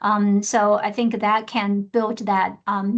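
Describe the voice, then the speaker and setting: Over a quiet background, a woman speaks with a Chinese accent. Her pace is very slow and her intonation monotone and flat. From China. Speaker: research program director, mentor. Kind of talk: webinar panel discussion. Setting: online webinar. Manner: halting, many fillers.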